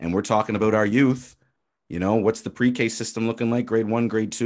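In a normal speaking voice, a man talks at a fairly quick pace and medium pitch against a quiet background. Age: 30s. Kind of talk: casual chat.

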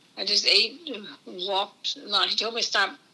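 A woman speaks with an American accent and fairly even intonation over noticeable background noise. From Maryland Eastern Shore (Easton), US. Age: 80s+. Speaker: grandmother sharing life story. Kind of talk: interview. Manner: halting.

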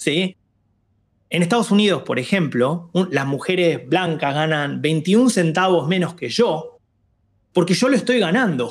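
Recorded very cleanly against a silent background, a man with a high pitch speaks at a fairly slow pace with lively intonation. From Argentina, Buenos Aires. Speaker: diversity and inclusion lead. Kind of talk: interview conversation.

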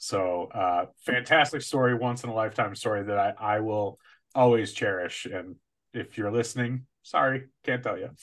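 In an ordinary speaking voice with an American accent, the speaker talks at a moderate pace with ordinary pitch variation over a quiet background. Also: man, medium pitch for a man. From Chicago area, US Midwest. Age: 40s. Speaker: podcast co-host. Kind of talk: casual chat.

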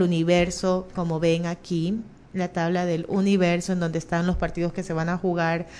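Here a woman talks in an unremarkable speaking voice. Her pitch is medium and her pace moderate. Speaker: radio host. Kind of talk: casual chat.

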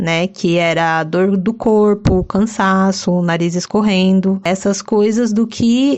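At a fairly slow pace, a woman with an unremarkable speaking voice talks, her pitch varying in an ordinary way. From São Paulo city, Brazil. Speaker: podcast co-host. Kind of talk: casual chat.

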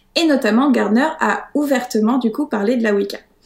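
This woman's voice sits high in pitch. She talks at a moderate pace with ordinary pitch variation. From France, Paris. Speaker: witch, author of practice planners. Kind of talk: interview.

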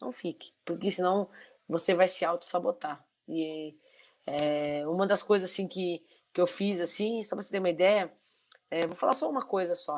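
Her pitch fairly low and its variation ordinary, a woman speaks at a moderate pace with long, frequent pauses. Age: 40s. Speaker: civil servant sharing lived experience of bipolar disorder. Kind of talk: live-stream interview, casual. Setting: online live stream.

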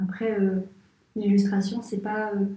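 A woman's medium-pitched, somewhat breathy voice, monotone and flat, at a very slow pace. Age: 20s. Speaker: architect and illustrator. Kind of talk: interview. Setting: at her home. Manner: halting, many repetitions and fillers.

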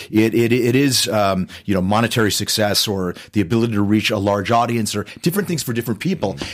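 A man with a normal speaking voice talks at a fairly quick pace and a fairly low pitch. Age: 50s. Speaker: actor and author. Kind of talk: interview.

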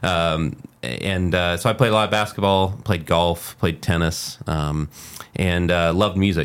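A man with an American accent, very deep and low in pitch, at a fairly slow pace. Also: ordinary pitch variation. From Muncie, Indiana, US Midwest. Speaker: acoustic studio designer and podcast host. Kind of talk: casual interview.

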